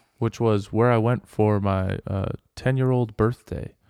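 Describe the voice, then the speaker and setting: A man with an American accent speaks in a dark, mellow tone with fairly even intonation. The sound is dry and close with no echo, against a quiet background. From US West, Las Vegas. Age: 20s. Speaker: podcast host. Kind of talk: casual chat.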